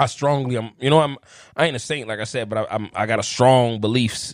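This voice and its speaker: A man with a Chicago accent talks at a fairly quick pace, his pitch medium and his intonation fairly even. The recording is very clean, with a silent background. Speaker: formerly incarcerated guest. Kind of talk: casual chat.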